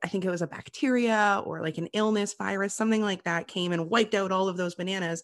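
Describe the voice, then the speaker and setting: A woman with a Canadian accent and an unremarkable speaking voice talks at a moderate pace and medium pitch with fairly even intonation, in a dry, close sound with no echo over a quiet background. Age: 30s. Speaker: podcast guest, podcaster. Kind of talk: casual chat. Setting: call.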